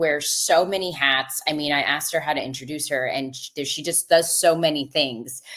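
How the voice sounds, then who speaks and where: The speaking moves at a moderate pace with ordinary pitch variation. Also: woman. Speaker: podcast host. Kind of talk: live podcast hosting. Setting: live stream video call.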